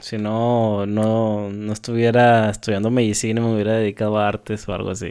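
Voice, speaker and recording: A man's dark, mellow tone at a moderate pace. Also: quiet background. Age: 20s. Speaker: podcast co-host. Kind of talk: casual chat. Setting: remote recording from separate homes.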